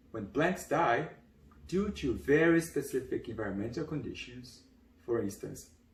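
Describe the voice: At a fairly slow pace, a man speaks at medium pitch with lively intonation.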